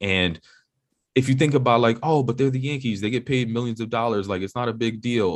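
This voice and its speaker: A man's normal speaking voice, medium in pitch with ordinary pitch variation, at a fairly quick pace. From New York City, Upper West Side of Manhattan. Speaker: entrepreneur and podcast host, former tech executive. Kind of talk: podcast interview. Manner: casual.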